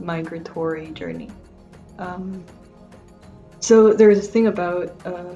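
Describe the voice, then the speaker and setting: A woman speaks at a fairly slow pace in a fairly low pitch. Music plays in the background. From Honduras, Tegucigalpa. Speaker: researcher and migration justice advocate. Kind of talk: interview answer.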